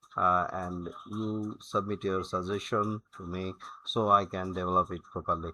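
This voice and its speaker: Over a quiet background, a man speaks in a very deep, low pitch with a bright, sharp tone. His intonation is monotone and flat, while his loudness swings widely. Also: moderate pace. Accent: Bengali. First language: Bengali. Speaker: software tutorial creator. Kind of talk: tutorial. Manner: halting, many fillers.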